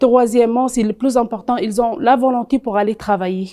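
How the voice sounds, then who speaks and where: The speaker has an Arabic accent, a moderate pace and ordinary pitch variation. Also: woman. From Tunisia. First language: Arabic (speaking French). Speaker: content creator and HR advisor, immigrant. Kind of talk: TV interview. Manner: halting, many hesitations.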